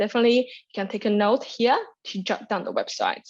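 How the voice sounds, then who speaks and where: A woman with a fairly high pitch and a Chinese accent at a fairly quick pace, against a quiet background. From China. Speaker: graduate student presenter. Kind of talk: orientation webinar presentation. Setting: online webinar. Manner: energetic, occasional stumbles.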